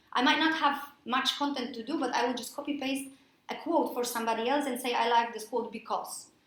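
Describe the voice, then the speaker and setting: With a Polish accent, a woman talks very fast in a high voice with ordinary pitch variation, over noticeable background noise and audible room echo. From Poland. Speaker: freelance mentor and coach. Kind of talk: presentation to a workshop audience.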